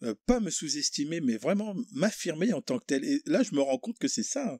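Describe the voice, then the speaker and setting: A man speaks at a moderate pace with very wide pitch swings. The sound is dry and close, with no echo. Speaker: podcast host. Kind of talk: casual chat. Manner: hesitant.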